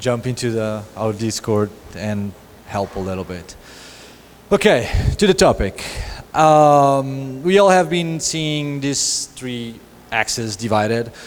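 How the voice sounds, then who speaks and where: Very slow, lively speech from a man of medium pitch, with long, frequent pauses and noticeable background noise. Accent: Portuguese. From Portugal, Lisbon. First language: Portuguese. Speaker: lead designer, conference speaker. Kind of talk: conference talk. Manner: halting, repeats words.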